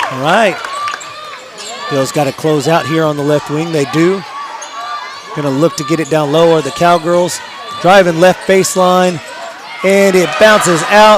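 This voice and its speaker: Noticeable background noise sits behind a man with a high pitch. He speaks at a fairly slow pace with long, frequent pauses. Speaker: play-by-play sports announcer. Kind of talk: live commentary. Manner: animated.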